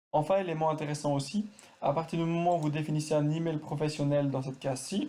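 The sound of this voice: A man's fairly high voice with a dark, mellow tone, fast pace and fairly even intonation, plus audible room echo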